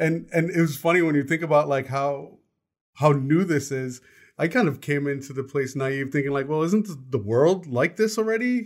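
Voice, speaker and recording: A man with an American accent and an ordinary speaking voice talks at a moderate pace in a fairly high pitch with lively intonation, recorded very cleanly against a silent background. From United States. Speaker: podcast co-host. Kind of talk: casual chat.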